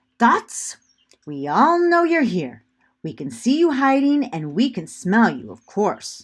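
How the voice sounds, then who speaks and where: A female-sounding voice puts on a character voice with a fairly high pitch and very wide pitch swings. The background is quiet. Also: fairly slow pace. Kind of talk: fancy, showy. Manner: confident, grand.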